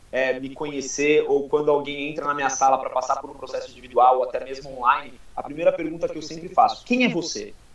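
Noticeable background noise sits behind a man with a fairly high pitch. He talks at a fairly quick pace with ordinary pitch variation. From Guarujá, São Paulo coast, Brazil. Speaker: mental coach. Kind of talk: podcast interview. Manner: halting, frequent repetitions.

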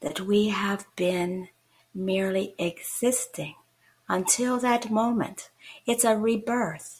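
Pitched in the medium range, a woman sounds somewhat breathy. She speaks very slowly with fairly even intonation. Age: 70s. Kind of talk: religious talk show. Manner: halting, fillers.

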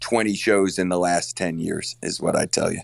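This man has an ordinary speaking voice. His pitch is fairly low and his intonation fairly even. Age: 40s. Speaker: college basketball coach. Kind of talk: interview.

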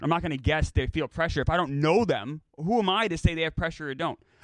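With lively intonation and a fairly high pitch, a man speaks at a fairly quick pace in an unremarkable speaking voice, captured on a very clean recording with a silent background and a dry, close sound with no echo. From New York. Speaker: sports podcast host. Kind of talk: casual chat.

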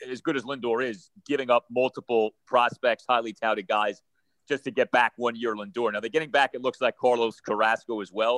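A man with an ordinary speaking voice, fairly even intonation, and a fairly quick pace, in a dry, close sound with no echo. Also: medium pitch for a man. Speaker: radio host and baseball analyst. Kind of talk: casual chat.

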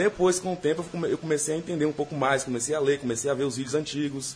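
With fairly even intonation and a fairly high pitch, a man talks at a fairly quick pace. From Bahia, Brazil. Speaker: listener and site commenter. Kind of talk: casual chat. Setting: studio. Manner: halting.

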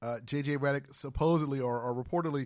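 Very clean recording of a man's voice, the background silent. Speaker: radio sports show host. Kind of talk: radio sports talk show banter. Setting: radio studio.

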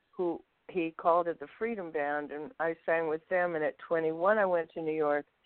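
A woman speaks at a moderate pace with a fairly low pitch and ordinary pitch variation. It is an unremarkable speaking voice. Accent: American. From Los Angeles. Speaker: jazz singer. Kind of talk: interview.

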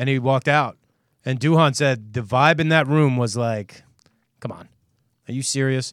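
A man talks at a moderate pace and a medium pitch, with fairly even intonation. He leaves long, frequent pauses. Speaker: sports podcast host. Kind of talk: casual sports talk show chat.

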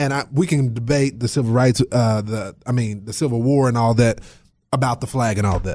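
Speaking at a fairly quick pace, a man has an unremarkable speaking voice with medium pitch and ordinary pitch variation, recorded very cleanly over a silent background. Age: 20s. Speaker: radio host. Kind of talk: political talk radio discussion.

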